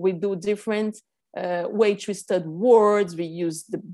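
Over a silent background in a very clean recording, a woman with a Portuguese accent speaks fairly slowly at a medium pitch with ordinary pitch variation. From Brazil, São Paulo. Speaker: reading teacher. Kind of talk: casual interview.

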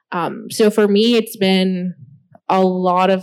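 Her intonation is monotone and flat, at a medium pitch for a woman. The recording is very clean, with a silent background. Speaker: graphic designer. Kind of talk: panel discussion. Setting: stage with audience.

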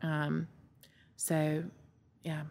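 The recording is very clean, its background silent. A woman talks in a Southern US accent. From US South, Montgomery, Alabama. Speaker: cancer survivor. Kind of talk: testimony. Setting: podcast recording.

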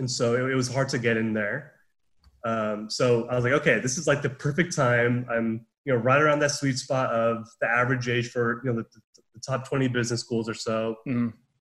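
With fairly even intonation, a man speaks in a plain, everyday voice at medium pitch. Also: moderate pace. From Southern California. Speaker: business student, club president. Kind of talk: casual interview. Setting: video call.

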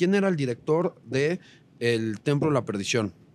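A man speaks with lively intonation at a fairly high pitch and moderate pace. The sound is dry and close with no echo, on a very clean recording with a silent background. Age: 40s. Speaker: entertainment TV reporter. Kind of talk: casual chat.

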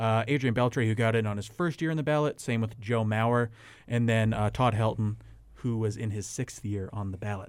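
With fairly even intonation, a man talks at moderate pace and medium pitch in an ordinary speaking voice, recorded very cleanly against a silent background. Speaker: sports podcast host. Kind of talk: casual sports banter.

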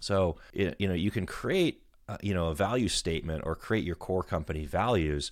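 A man speaks at a moderate pace in a very deep, low voice with ordinary pitch variation. The recording is very clean, with a silent background. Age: 40s. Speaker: IT business owner. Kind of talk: solo monologue podcast. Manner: halting, many fillers.

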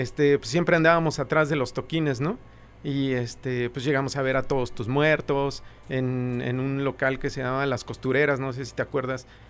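Using monotone, flat intonation, a man with a medium pitch speaks at a moderate pace. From Mexico City. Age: young. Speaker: rock musician. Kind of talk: casual interview chat.

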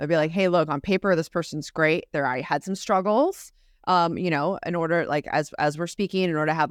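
Talking at a very fast pace in an animated tone, a woman with a fairly low pitch comes through on a very clean recording with a silent background and a dry, close sound with no echo. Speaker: recruiting podcast co-host. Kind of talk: casual chat. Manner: fast talker.

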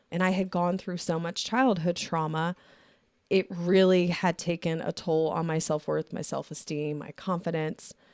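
In a very clean recording with a silent background and a dry, close sound with no echo, a woman with an unremarkable speaking voice talks at a moderate pace, her pitch fairly low and her intonation fairly even. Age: 40s. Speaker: podcast host. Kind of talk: casual chat. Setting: studio.

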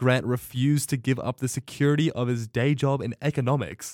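The recording is very clean, with a silent background and a dry, close sound with no echo. A man with an ordinary speaking voice talks at a moderate pace and medium pitch. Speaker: university student, Jack Reacher fan.

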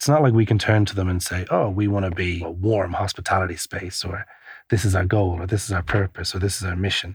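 A man with a very deep, low pitch and an Irish accent talks at a very fast pace, sounding somewhat breathy, with fairly even intonation. The recording is very clean, with a silent background. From Ireland, Kilkenny. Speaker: coffee shop entrepreneur. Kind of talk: interview.

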